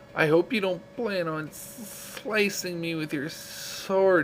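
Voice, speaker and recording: Clear background noise runs under a man doing a put-on character voice. It is high-pitched and hissing, at a fairly slow pace. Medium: read story.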